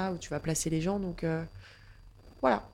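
On a very clean recording with a silent background, a woman with a dark, mellow tone speaks slowly at a fairly low pitch, her intonation fairly even. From northern France, Picardy (Saint-Quentin). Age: 20s. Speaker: yoga and pilates teacher. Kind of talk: casual interview. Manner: hesitant, many fillers and repetitions.

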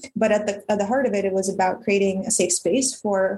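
A woman's medium-pitched voice, an unremarkable speaking voice. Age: 30s. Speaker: filmmaker. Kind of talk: casual chat.

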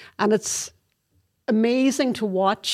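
A woman speaks with a Donegal accent in a very clean recording with a silent background. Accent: Donegal Irish. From Donegal, Ireland. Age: 50s. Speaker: army corporal. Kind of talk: interview.

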